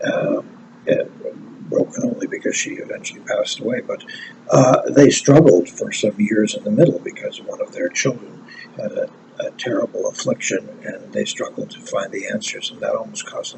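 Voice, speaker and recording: A man's loudness swings widely as he talks at a moderate pace, with noticeable background noise present. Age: 70s. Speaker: commentator. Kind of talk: personal commentary. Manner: hesitant, many fillers.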